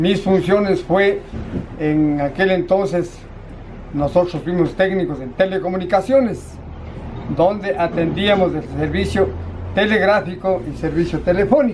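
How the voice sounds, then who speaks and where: Amid noticeable background noise and audible room echo, a man speaks fairly slowly at a high pitch, with ordinary pitch variation and long, frequent pauses. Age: 60s. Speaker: retired railway telecom technician. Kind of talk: oral history interview. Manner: halting.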